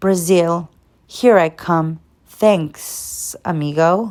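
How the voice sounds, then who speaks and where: A put-on character voice, hissing, at a very slow pace and middle pitch. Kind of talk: casual, friendly.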